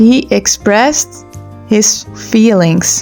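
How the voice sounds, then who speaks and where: Over music in the background, a woman with a Dutch accent speaks at a very slow pace. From Netherlands. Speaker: nutritionist and trauma therapist. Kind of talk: faith vlog talk to camera.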